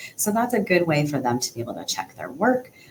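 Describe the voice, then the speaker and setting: This woman's intonation is lively, heard through noticeable background noise. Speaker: occupational therapist. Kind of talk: tutorial.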